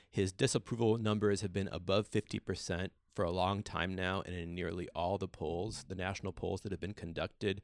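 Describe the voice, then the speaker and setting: On a very clean, dry, close recording with a silent background and no echo, a man with an American accent talks fairly quickly in a very deep, low voice with ordinary pitch variation. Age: 40s. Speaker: political science professor. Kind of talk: panel discussion. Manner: halting.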